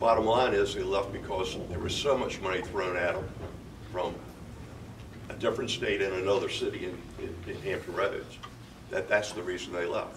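Amid noticeable background noise, a man with an American accent speaks with long, frequent pauses. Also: moderate pace. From Virginia Beach, Virginia; Virginia. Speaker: mayor; candidate. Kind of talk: candidate forum speech. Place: hall.

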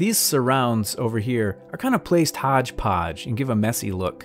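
Faint music in the background behind a man at a moderate pace. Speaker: map design instructor. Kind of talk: tutorial.

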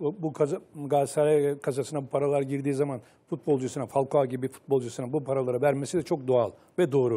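Speaking at a very fast pace, a man with a fairly high pitch has a dark, mellow tone and fairly even intonation. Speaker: football pundit. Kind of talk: panel discussion. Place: studio. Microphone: lapel.

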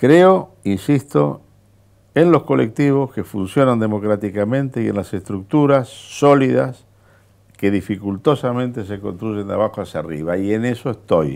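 A man with a fairly low voice speaks fairly slowly with very wide pitch swings against a quiet background. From Argentina. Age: 70s. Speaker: politician. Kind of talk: interview. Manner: animated. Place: studio. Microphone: lapel.

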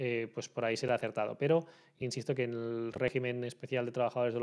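Against a quiet background, a man speaks in a monotone with flat intonation. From Spain. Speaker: labour and social security lawyer; social security lawyer. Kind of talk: Q&A video answering viewer questions. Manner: hesitant with frequent fillers. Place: home room. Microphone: studio mic.

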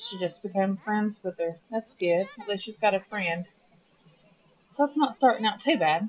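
A woman's voice at a moderate pace, ordinary pitch variation, big swings in loudness, light background noise behind. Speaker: game commentator. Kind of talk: casual let's play commentary. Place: home room.

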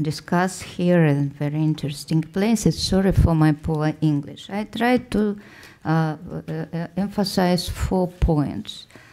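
Recorded very cleanly against a silent background, a woman with a Russian accent speaks in a fairly low, dark, mellow tone. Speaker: social scientist on a conference panel. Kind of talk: conference panel presentation. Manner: halting, many hesitations and false starts.

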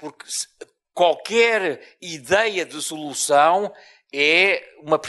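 This man talks at a very slow pace with a European Portuguese accent. The background is quiet. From Portugal (born in Mozambique). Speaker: professor. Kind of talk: lecture. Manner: deliberately slow. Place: hall. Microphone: handheld.

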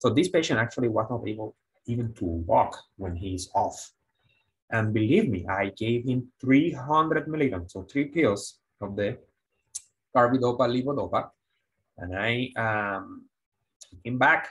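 Against a quiet background, a man speaks fairly slowly and somewhat breathily, with lively intonation and long, frequent pauses. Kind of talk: lecture. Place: studio.

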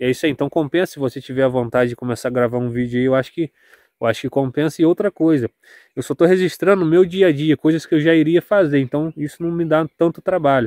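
Speaking at a very fast pace, a man with a fairly high pitch, a dark, mellow tone and ordinary pitch variation is heard against a quiet background in a dry sound with no echo. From Brazil, interior of Rio de Janeiro state (serrana region). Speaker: farmer and rural vlogger; small farmer vlogger. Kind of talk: casual vlog. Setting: outdoors. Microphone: phone near.

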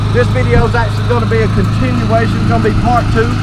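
Against loud background noise, a man talks at a very fast pace with a dry sound and no echo. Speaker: presenter. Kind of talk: tutorial. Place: open country.

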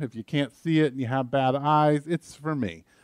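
A man speaks at a fairly quick pace. The background is quiet and the sound is dry with no echo. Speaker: pastor preaching. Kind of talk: sermon. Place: church.

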